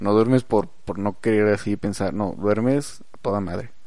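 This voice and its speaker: Speaking with a Mexican accent, a man talks fairly slowly in a fairly low voice with fairly even intonation. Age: 20s. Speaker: podcast host. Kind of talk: casual chat. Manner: halting.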